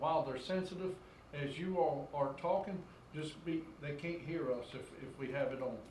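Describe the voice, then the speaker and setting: A fairly high male voice with ordinary pitch variation, amid noticeable background noise and audible room echo. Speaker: town mayor. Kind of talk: council meeting chairing. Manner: loud. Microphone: sensitive room microphone, mask muffles it.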